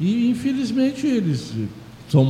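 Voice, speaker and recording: A man's voice at a moderate pace with very wide pitch swings, noticeable background noise and audible room echo. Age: 70s. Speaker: president of a municipal council for the elderly. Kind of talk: radio interview. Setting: radio studio. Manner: halting.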